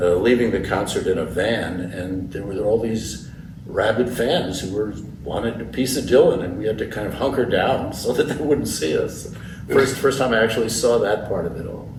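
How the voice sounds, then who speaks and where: A man with a medium pitch and ordinary variation in it talks at a moderate speed, with noticeable background noise and audible echo from the room. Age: 80s+. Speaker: folk musician and novelist. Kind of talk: interview. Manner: halting, repeats words.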